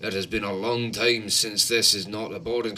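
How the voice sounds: The voice reads in a natural way. Its intonation stays fairly even.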